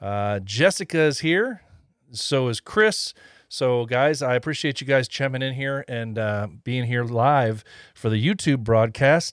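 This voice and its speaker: A man with an American accent speaks at a medium pitch and fairly slow pace, with lively intonation. The recording is very clean, with a silent background. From United States. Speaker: podcast host. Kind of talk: casual interview. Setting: studio. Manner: hesitant, many filler words.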